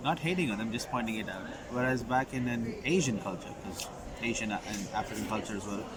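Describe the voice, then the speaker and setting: Noticeable background noise and audible room echo fill this recording. A man at medium pitch speaks at a fairly quick pace with ordinary pitch variation. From Qatar, Middle East (Indian family). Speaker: recent graduate, international student. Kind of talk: interview.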